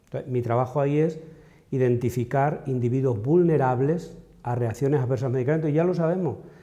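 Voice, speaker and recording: Against a quiet background, a man speaks at a fairly quick pace in a dark, mellow tone with ordinary pitch variation. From Extremadura, Spain. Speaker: pharmacogenetics researcher. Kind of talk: interview. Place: hall. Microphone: lapel.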